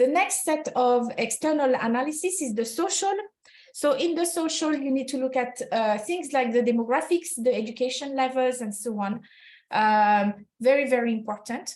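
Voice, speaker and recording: A woman with a French accent, high-pitched, with lively intonation at a moderate pace. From France. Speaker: HR consultant. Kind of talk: webinar presentation. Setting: online webinar. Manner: halting, many fillers.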